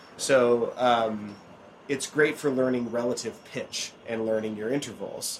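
A man speaks at a medium pitch with an American accent, at a fairly slow pace. His intonation stays fairly even in an unremarkable speaking voice. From Oregon. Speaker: banjo player and podcast host. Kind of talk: casual chat. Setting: outdoors, later indoors.

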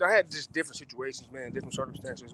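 Very fast talk from a man at a medium pitch, with an American accent. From Los Angeles. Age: 30s. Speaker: football player. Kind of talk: interview.

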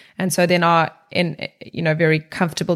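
With a South African accent, a woman speaks in a monotone, flat way. Her pitch is fairly low and her pace moderate. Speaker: corporate wellbeing executive. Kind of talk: interview.

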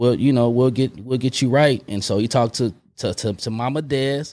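Recorded very cleanly against a silent background, a man speaks at a moderate pace in a medium pitch with fairly even intonation. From West Oakland, California. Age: 40s. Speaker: film producer and motivational speaker. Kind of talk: casual interview. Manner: halting, with many fillers and repeats.

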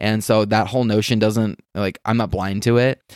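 A man with an American accent speaks at a medium pitch and a moderate pace, his intonation monotone and flat. The recording is very clean with a silent background, dry and close with no echo. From US West, Las Vegas. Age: 30s. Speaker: blogger and entrepreneur. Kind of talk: casual interview chat. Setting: at home in his apartment.

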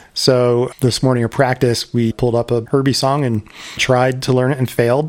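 With monotone, flat intonation, this man talks at a medium pitch. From Philadelphia area, US. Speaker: podcast co-host. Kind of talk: casual chat.

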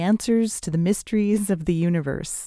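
The tone is dark and mellow, with ordinary pitch variation. The sound is dry and close with no echo, on a very clean recording with a silent background. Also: woman. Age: 60s. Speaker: podcast host and writer. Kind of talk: scripted narration. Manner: gentle, warm storytelling.

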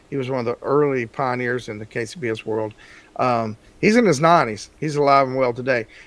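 In a Texan accent, a man speaks with ordinary pitch variation. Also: medium pitch for a man, moderate pace. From Texas. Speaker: barbecue seasoning maker. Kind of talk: interview.

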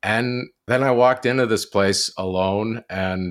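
A man with a Canadian accent speaks in an ordinary speaking voice at a fairly low pitch with fairly even intonation. The recording is very clean, with a silent background. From Ontario, Canada (near Kingston). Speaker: documentary filmmaker. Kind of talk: interview conversation.

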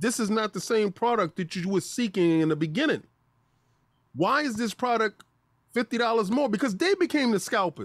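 In a very clean recording with a silent background, a man speaks at a moderate pace with a high pitch and lively intonation. His tone is animated, and the sound is dry and close with no echo. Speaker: gaming podcast co-host. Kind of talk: casual chat.

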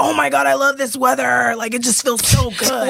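A man puts on a character voice with an extremely high pitch. His pace is moderate. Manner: enthusiastic.

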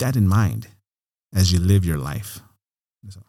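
A man speaks at a moderate pace with lively intonation. His tone is dark and mellow, and somewhat breathy. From Oregon, Mexican-American. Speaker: realtor and city councilor. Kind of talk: interview.

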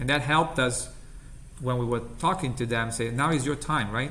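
A man with an Italian accent speaks at a medium pitch with ordinary pitch variation over noticeable background noise. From Italy.

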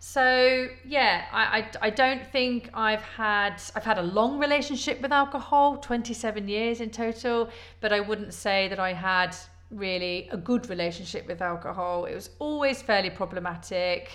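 A woman with a Midlands accent, fairly high-pitched, at a fairly slow pace. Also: ordinary pitch variation. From English Midlands, Leicester. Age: 40s. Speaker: podcast host. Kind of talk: personal testimony. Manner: hesitant, many fillers.

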